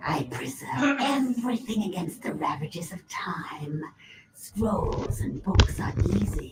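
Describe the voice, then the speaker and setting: A put-on character voice speaks fairly slowly. Its pitch sits in the middle range. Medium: video game. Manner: detached, condescending.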